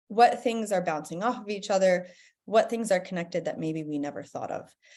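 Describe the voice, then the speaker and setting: A woman with an American accent speaks at a moderate pace, her dark, mellow tone paired with lively intonation. The recording is very clean, with a silent background. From United States. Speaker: professor. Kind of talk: conference presentation.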